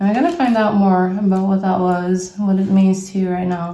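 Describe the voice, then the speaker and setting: A woman with a non-native accent at a medium pitch and moderate pace, amid audible room echo and noticeable background noise. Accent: non-native English speaker. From Brazil. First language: Portuguese. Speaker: tarot reader. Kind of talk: tarot reading. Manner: casual, thinking aloud with hesitations.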